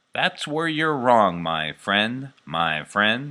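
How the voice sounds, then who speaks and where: In a put-on character voice, a man talks at a very slow pace, his medium pitch making very wide swings. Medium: read story. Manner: repeats words.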